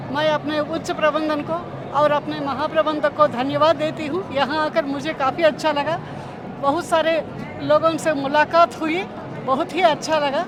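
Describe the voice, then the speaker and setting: A high-pitched woman, flat and monotone, over crowd noise in the background. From Andhra Pradesh, India (Visakhapatnam). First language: Telugu (speaking Hindi). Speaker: official language officer. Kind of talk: event interview. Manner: formal.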